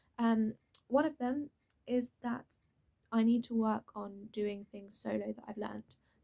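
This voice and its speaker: Somewhat breathy, a woman's fairly high-pitched voice moves with ordinary pitch variation. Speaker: drama school student. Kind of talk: casual talk to camera.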